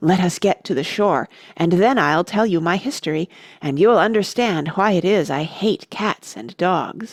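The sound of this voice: Using a put-on character voice, a woman speaks at a moderate pace at a medium pitch, her voice shaky.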